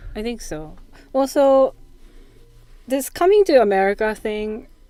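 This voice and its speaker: A dark, mellow tone in a Japanese accent, with very wide pitch swings, big swings in loudness, and a fairly slow pace. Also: woman, high pitch for a woman. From Japan, Yokohama. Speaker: percussionist. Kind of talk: casual interview.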